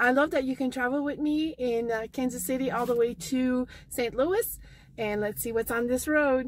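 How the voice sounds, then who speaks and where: With a high pitch and ordinary pitch variation, a woman speaks at a moderate pace in a dry sound with no echo. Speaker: thrift shopping vlogger. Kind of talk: casual vlog chat. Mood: chatty, lightly amused. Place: car. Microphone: phone near.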